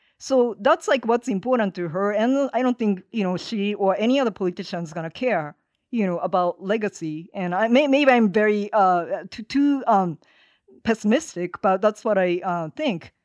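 A woman's medium-pitched voice with a Japanese accent and lively intonation at a moderate pace, dry and close with no echo, over a quiet background. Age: 50s. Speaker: activist organizer. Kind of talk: interview conversation. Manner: halting with many fillers.

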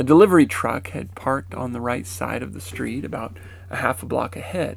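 Noticeable background noise accompanies a man with an American accent who talks at a moderate pace and a medium pitch. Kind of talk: first-person memoir narration.

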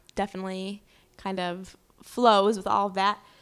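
The background is silent in this very clean recording. A woman with an unremarkable speaking voice talks at a medium pitch and a moderate pace. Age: 20s. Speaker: brand manager and cookbook writer. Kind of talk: casual interview chat.

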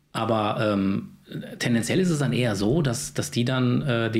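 Lively intonation from a man at medium pitch and moderate pace, with audible room echo and noticeable background noise. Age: 40s. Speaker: video production company owner. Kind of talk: casual interview.

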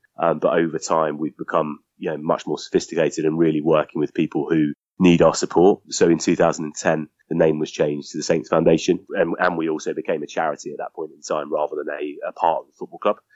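A man talking very fast in a southern English accent, hardly pausing, with big swings in loudness. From southern England, Southampton. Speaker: charity foundation head. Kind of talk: interview.

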